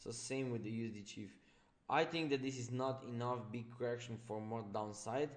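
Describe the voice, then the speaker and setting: The medium-pitched voice of a man carries audible room echo. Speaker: trading coach. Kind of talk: live webinar chart analysis. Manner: fast.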